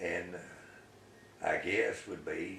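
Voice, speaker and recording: With audible room echo, a man speaks in an American accent. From US South. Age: 80s+. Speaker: retired local businessman. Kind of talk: oral history interview. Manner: halting.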